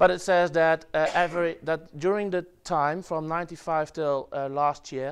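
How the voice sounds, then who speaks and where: In a Dutch accent, a man with a fairly high pitch speaks at a moderate pace with monotone, flat intonation. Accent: Dutch accent in English, German-like. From Netherlands. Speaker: web developer presenter. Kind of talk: conference talk. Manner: halting, many fillers.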